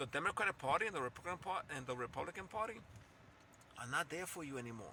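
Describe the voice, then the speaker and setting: Animated and very fast, a man with a non-native accent speaks at a fairly high pitch in a bright, sharp tone with very wide pitch swings. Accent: noticeable foreign. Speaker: political commentator YouTuber. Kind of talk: political rant monologue. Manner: animated, repetitive; halting, self-correcting.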